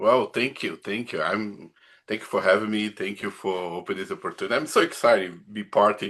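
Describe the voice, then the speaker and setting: A man with a Brazilian accent speaks at a fairly quick pace in a fairly low pitch. His pitch variation is ordinary, and the background is quiet. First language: Portuguese. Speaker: pastor. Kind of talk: casual chat. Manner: halting.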